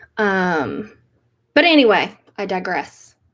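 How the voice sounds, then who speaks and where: A woman speaks with an American accent. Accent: toned-down Southern. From Appalachia, US South. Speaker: YouTuber, Korean adoptee. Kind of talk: casual livestream talk. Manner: hesitant, many fillers.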